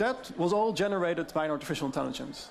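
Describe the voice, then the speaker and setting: A man with a slight Dutch accent speaks fast-ish at a high pitch with lively intonation over noticeable background noise. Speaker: AI deepfake expert. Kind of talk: presentation.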